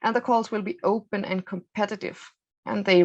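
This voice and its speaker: Vocal fry marks this woman's voice as she talks with ordinary pitch variation. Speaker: EU funding program presenter. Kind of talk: webinar presentation. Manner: halting, many fillers.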